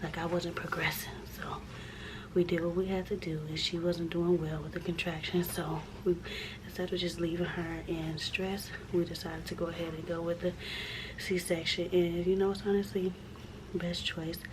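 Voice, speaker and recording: A woman's fairly low, monotone voice at a moderate pace, broken by long, frequent pauses, with noticeable background noise and audible room echo. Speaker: vlogger. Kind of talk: casual vlog. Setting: hospital room. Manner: halting.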